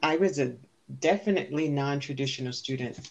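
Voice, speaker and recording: A woman's very deep, low voice with an American accent, ordinary pitch variation and a moderate pace. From New York, the Bronx. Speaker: college library supervisor and club advisor. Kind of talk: casual chat.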